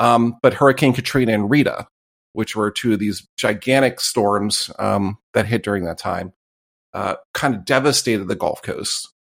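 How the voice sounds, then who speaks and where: This man has a plain, everyday voice, medium in pitch with ordinary pitch variation, delivered at a moderate pace. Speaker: podcast host. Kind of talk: casual chat.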